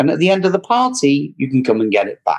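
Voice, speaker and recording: A man with an English accent. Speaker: credit repair specialist. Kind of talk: interview answers, explanatory talk. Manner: preachy, animated.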